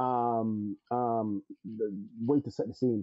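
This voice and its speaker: A man's medium-pitched voice with a slight Jamaican accent. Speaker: network engineer. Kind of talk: podcast interview. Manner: hesitant, many filler words.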